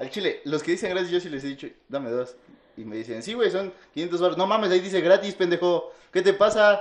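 Talking at a very fast pace with a Mexican accent, a man uses a high pitch, lively intonation and big swings in loudness. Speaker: podcast co-host. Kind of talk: casual chat.

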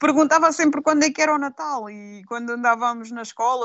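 The woman keeps a moderate tempo. Her intonation shows ordinary pitch variation. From Aveiro district, Portugal. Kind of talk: casual chat.

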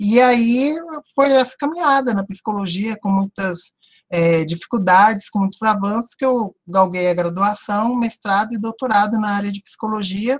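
A woman's voice comes through somewhat breathy. The sound is dry and close, with no echo. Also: medium pitch for a woman, ordinary pitch variation, moderate pace. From Brazil, Brasília (Ceilândia). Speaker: psychologist and university professor. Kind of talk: interview.

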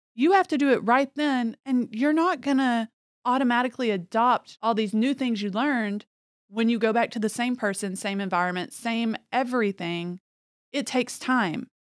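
On a very clean recording with a silent background, a woman in a normal speaking voice talks at a moderate pace, fairly high in pitch with ordinary pitch variation. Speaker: podcast host. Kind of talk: casual chat.

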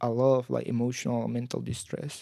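With a Spanish accent, a man talks at a fairly quick pace. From Guatemala. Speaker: university student. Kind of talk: casual interview.

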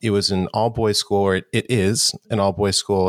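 Recorded very cleanly with a silent background and a dry, close sound with no echo, a man with an American accent speaks at a moderate pace in a normal speaking voice with a fairly low pitch. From New York City, Harlem. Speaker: audio tech company founder. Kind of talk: casual chat.

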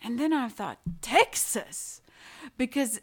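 A woman speaks with a Latvian accent. Her intonation is lively. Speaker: painter. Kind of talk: interview. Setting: in her home. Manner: halting.

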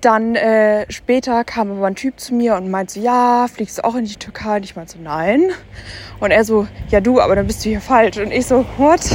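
With noticeable background noise, a woman with a fairly high pitch speaks at a moderate pace and ordinary pitch variation. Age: 20s. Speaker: podcaster. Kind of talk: casual chat. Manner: animated.

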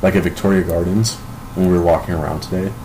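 With an American accent, a man talks in a very deep, low voice amid noticeable background noise and audible room echo. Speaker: amateur rapper. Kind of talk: casual chat. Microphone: poor recording quality.

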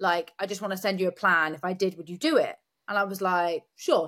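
On a very clean recording with a silent background, a woman with an ordinary speaking voice talks at medium pitch and a fairly quick pace. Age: 30s. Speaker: competitive bodybuilder. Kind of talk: casual chat. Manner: fast.

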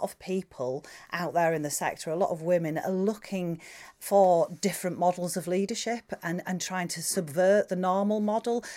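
Speaking with a northern English accent, a woman has a fairly low pitch and a dark, mellow tone. The recording is very clean, with a silent background. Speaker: podcast presenter and museums director. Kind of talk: interview presenting, guided walk-in intro. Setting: on location, walking into a library.

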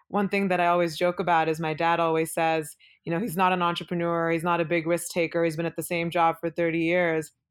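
A woman with a Pacific Northwest accent at a very fast pace with hardly any pauses, fairly low in pitch and flat, monotone in intonation, in a very clean recording with a silent background. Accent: American (Pacific Northwest). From Oregon, Beaverton (Portland suburb), born in India. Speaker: venture capital investor. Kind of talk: interview.

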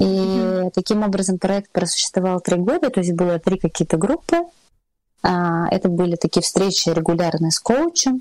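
In a dry, close sound with no echo, a woman at medium pitch speaks at a moderate pace in a calm, relaxed tone that is dark and mellow, with very even loudness and ordinary pitch variation. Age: 30s. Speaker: table-setting stylist. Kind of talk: interview.

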